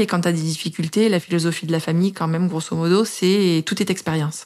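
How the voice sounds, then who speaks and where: A woman's medium-pitched voice, an unremarkable speaking voice, with fairly even intonation on a very clean recording with a silent background. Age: 30s. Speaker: mother sharing breastfeeding story. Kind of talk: personal testimony.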